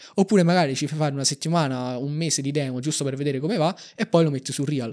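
A man's very fast speech, fairly high in pitch with ordinary pitch variation, against a quiet background. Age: 20s. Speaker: algorithmic trader; guest. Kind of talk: interview. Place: studio. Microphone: studio mic.

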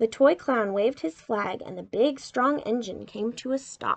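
A woman talks at a fairly slow pace with vocal fry. Her pitch is fairly high. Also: ordinary pitch variation.

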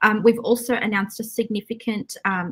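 Music plays in the background as a woman speaks at a moderate pace with fairly even intonation. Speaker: candidate. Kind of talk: interview answer. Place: home room.

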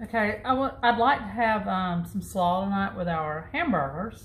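A woman talks in a somewhat breathy voice. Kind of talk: cooking tutorial chat. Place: kitchen. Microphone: phone near.

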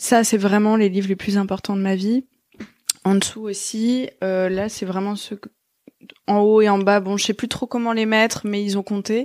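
Leaving long, frequent pauses, a woman of medium pitch speaks at a moderate pace in a monotone, flat way. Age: 30s. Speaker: podcast host. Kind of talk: casual interview.

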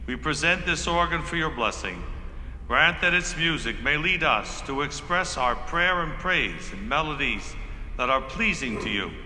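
Music plays behind a man who talks at a middling tempo. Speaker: bishop leading a blessing. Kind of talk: liturgical prayer of blessing, solemn and reverent, spoken in a church. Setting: church. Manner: solemn, measured, reverent. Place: church. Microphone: handheld.

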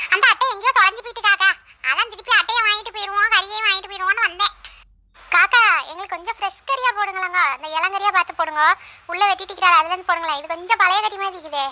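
A cartoonish character voice from a woman, extremely high in pitch, at a very fast pace with ordinary pitch variation. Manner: chatty, bossy.

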